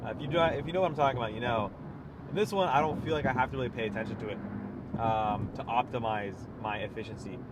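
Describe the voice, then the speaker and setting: Over noticeable background noise and audible room echo, a man at a medium pitch speaks very fast with lively intonation. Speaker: car reviewer. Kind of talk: test drive commentary. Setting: in a car. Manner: loud; casual, filler-heavy.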